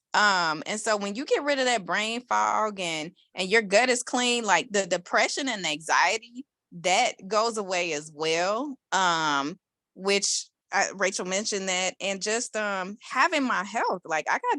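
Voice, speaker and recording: In a normal speaking voice, a woman talks with lively intonation, and the sound is dry and close with no echo. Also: very clean recording, silent background. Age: 40s. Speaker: network marketing distributor. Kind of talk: testimony.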